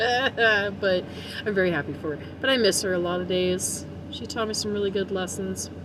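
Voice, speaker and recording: A woman with an American accent speaks at a moderate pace in a medium pitch with ordinary pitch variation. Noticeable background noise and audible room echo fill the recording. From US South. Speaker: digital artist. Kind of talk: drawing tutorial. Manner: casual, laughing often.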